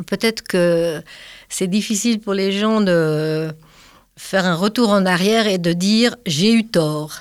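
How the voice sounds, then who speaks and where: Speaking very slowly at a medium pitch with ordinary pitch variation and very even loudness, a woman is heard on a very clean recording with a silent background. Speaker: retired climate activist. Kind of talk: casual chat.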